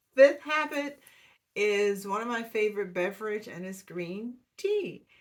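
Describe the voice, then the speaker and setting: This woman speaks at a very slow pace in a fairly high voice. Her intonation is lively. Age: 60s. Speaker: wellness vlogger. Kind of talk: casual talk to camera. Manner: hesitant with many fillers.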